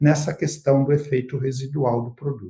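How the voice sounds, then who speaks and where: Dark, mellow and somewhat breathy, a man's fairly high voice keeps a moderate pace with fairly even intonation. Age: 60s. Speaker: agronomy researcher and consultant. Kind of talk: expert interview in a live webinar. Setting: online live stream.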